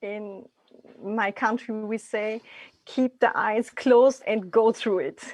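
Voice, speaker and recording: In a quiet background, a woman with a non-native accent speaks very slowly in a fairly high, flat, monotone voice. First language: not English. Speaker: immigrant parent panelist. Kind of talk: online Q&A panel.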